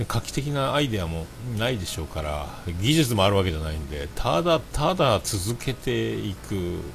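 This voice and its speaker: Using very wide pitch swings, a man with a fairly low pitch talks at a moderate pace. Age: 40s. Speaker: livestreamer and podcaster. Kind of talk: solo livestream chat. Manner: casual, filler-heavy.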